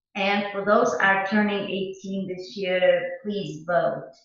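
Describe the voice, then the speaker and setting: A woman speaks amid audible room echo. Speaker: local political candidate. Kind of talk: campaign message.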